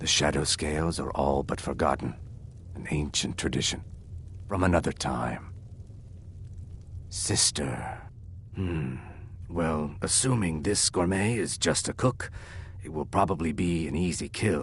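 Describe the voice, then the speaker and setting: Over clear background noise, a man uses a put-on character voice with a very deep, low pitch, speaking at a moderate pace with long, frequent pauses. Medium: video game. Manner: calm, clipped.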